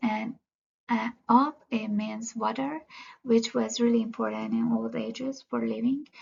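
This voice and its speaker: A woman with a Persian accent at a fairly slow pace. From Iran, Tehran. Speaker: student. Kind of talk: class presentation. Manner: halting, many fillers.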